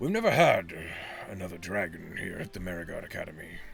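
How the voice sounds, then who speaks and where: A man in a put-on character voice, raspy and very fast, against clear background noise. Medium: actual play. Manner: measured, pondering, scholarly.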